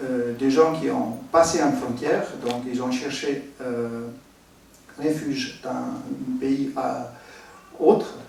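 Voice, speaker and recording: A man's fairly high voice with an Italian accent and ordinary pitch variation, plus audible room echo and noticeable background noise. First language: Italian (speaking French). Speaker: architect, humanitarian expert. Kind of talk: conference presentation. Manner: halting, many hesitations.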